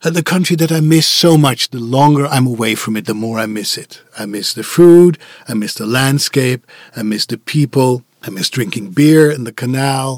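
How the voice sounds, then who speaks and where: Speaking with a Dutch accent, a man keeps a moderate pace in a fairly high voice. The sound is dry and close, with no echo. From Netherlands. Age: 50s. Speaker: voice actor. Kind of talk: interview. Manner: outspoken.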